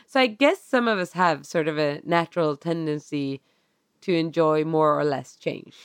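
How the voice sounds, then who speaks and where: A woman with a Swedish accent and a very deep, low pitch speaks at a moderate pace with ordinary pitch variation, in a dry, close sound with no echo. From Sweden. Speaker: podcast co-host. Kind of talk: casual chat. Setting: video call. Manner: calm.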